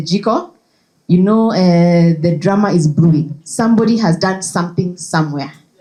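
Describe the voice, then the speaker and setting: This clip features a woman's voice. It comes across as somewhat breathy. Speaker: conference speaker. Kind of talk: presentation. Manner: animated.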